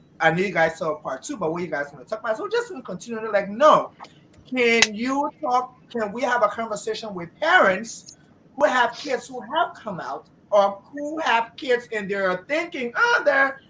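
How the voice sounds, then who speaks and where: Her fairly high voice swings very wide in pitch and a lot in loudness. The woman keeps a moderate pace over noticeable background noise. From Nigeria. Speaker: talk show host. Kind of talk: casual chat.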